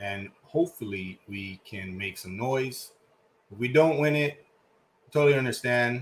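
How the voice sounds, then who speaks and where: At a fairly slow pace, a man speaks with a Spanish accent and ordinary pitch variation. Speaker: soccer podcast co-host. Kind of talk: casual chat.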